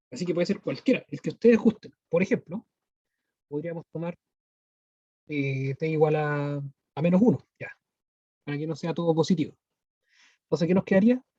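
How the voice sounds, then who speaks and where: Dry and close with no echo, the dark, mellow voice shifts in big swings of loudness and leaves long, frequent pauses. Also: man, high pitch for a man, ordinary pitch variation. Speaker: math teacher. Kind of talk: online lecture. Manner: fast.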